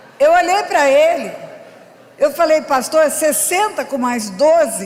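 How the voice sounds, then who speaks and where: A woman's extremely high voice with very wide pitch swings over noticeable background noise. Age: 70s. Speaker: pastor. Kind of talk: sermon.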